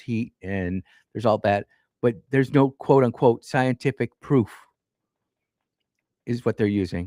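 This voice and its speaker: A man with a plain, everyday voice, ordinary pitch variation and a moderate pace, in a dry, close sound with no echo. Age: 50s. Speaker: radio talk show host. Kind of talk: call-in radio debate. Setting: radio studio.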